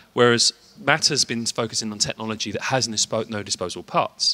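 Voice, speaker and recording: A man's medium-pitched voice with a British accent, bright and sharp in tone, in a dry, close recording with no echo. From UK. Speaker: company representative at tech show. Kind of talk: interview. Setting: trade show floor. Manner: hesitant, many fillers.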